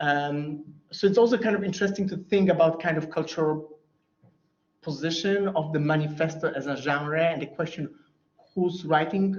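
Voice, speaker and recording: With a Polish accent, a man speaks at a moderate pace and a fairly high pitch with ordinary variation, over audible room echo. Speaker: academic researcher. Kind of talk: Q&A after lecture. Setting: lecture room with online audience. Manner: halting.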